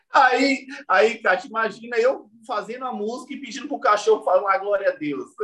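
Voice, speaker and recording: A man's raised, projected voice, extremely high in pitch with a bright, sharp tone, runs at a moderate pace with hardly any pauses, ordinary pitch variation and big swings in loudness. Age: 30s. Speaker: gospel musician. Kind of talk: casual interview.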